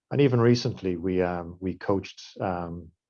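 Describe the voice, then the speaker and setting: The voice belongs to a man. He talks with an Irish accent. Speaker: industry mentor at diagnostics company. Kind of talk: webinar panel remarks.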